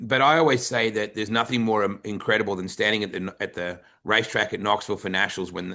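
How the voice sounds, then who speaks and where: Against a quiet background, a man with an Australian accent speaks at a fairly quick pace with fairly low pitch and a bright, sharp tone. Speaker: podcast host. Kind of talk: interview conversation.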